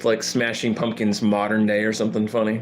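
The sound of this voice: A man's fairly low, monotone, flat delivery at a fairly quick pace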